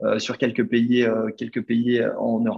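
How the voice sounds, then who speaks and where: This man speaks at a medium pitch. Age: 30s. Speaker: startup founder. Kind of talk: interview.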